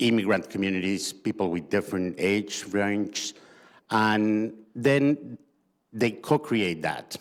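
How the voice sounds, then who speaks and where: Very slowly, a man with a fairly low pitch speaks with ordinary pitch variation on a very clean recording with a silent background. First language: not English. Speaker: community organization representative. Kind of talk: panel discussion. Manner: halting.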